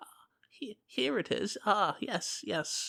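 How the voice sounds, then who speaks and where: A female-sounding put-on character voice, whispering at a fairly slow pace. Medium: actual play. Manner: doting, muddled, stammering.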